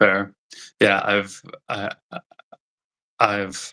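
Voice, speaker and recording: Speaking at a very slow pace, a man is heard in a dry, close sound with no echo. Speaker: speech-language pathologist who stutters. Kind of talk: interview. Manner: halting, many repetitions.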